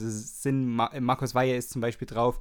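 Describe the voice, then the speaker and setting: A man speaks with a Saxon accent at a moderate pace. His medium-pitched voice stays monotone and flat. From Saxony, Germany. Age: 30s. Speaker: radio DJ. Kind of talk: casual radio show hosting. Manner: casual, with many fillers.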